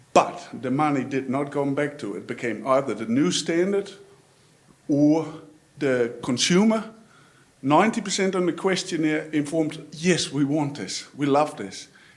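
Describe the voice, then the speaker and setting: This man has a Dutch accent and a fairly high pitch. He speaks at a moderate pace with lively intonation over noticeable background noise. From Netherlands. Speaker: audience member, dairy farmer. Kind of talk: audience question at panel discussion.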